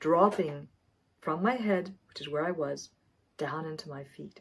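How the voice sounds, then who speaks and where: A plain, everyday voice from a woman, with lively intonation. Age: 60s. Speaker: wellness coach. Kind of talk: tutorial.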